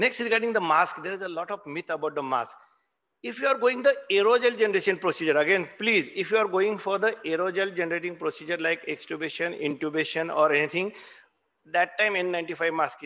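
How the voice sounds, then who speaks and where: With a high pitch and a bright, sharp tone, a man speaks at a fairly quick pace. His pitch varies in an ordinary way over a quiet background. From India, Maharashtra (Solapur); Maharashtra, India. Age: 50s. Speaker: critical care physician. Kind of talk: oration lecture. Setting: hall with audience, hybrid meeting. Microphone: video call.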